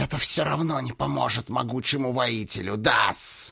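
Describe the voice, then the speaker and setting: A man puts on a raspy, hissing character voice at a medium pitch. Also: moderate pace. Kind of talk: speaks with an archaic 'да-с' verbal tic. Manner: insolent.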